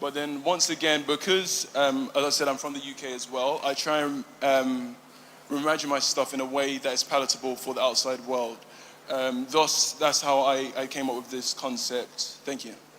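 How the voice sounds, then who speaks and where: A man with a British accent speaks at a moderate pace and a fairly high pitch, his intonation monotone and flat, over noticeable background noise. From UK, Ghanaian and Igbo heritage. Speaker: emerging fashion designer. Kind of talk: pitch presentation. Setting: live fashion event with judges. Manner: halting, many fillers.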